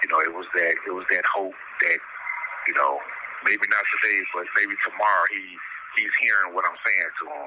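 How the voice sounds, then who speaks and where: A man with long, frequent pauses keeps a moderate pace over noticeable background noise. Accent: American. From Chicago. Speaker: incarcerated man. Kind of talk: interview. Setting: phone call. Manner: halting.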